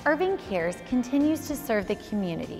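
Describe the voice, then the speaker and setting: A woman speaks at a moderate pace. Faint music plays behind her. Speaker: actress and host. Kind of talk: community documentary narration. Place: office. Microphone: lapel.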